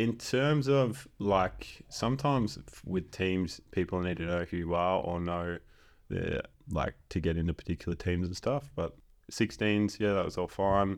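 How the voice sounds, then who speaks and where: A man with a very deep, low pitch and an Australian accent, fairly slow pace and lively intonation, on a very clean recording with a silent background. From Western Australia, Exmouth. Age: 20s. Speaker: footballer and chiropractor. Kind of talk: casual chat.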